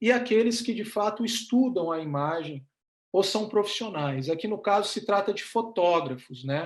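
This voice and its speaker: A man speaks at a fairly slow pace in a high voice. His intonation is lively. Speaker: professor and photographer giving a talk. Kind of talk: lecture. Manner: hesitant, many fillers.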